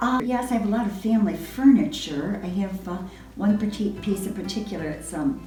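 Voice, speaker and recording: With music in the background and audible room echo, a woman speaks at a fairly quick pace. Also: medium pitch for a woman, ordinary pitch variation. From upstate New York. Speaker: retired English teacher. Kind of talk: oral history interview. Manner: halting.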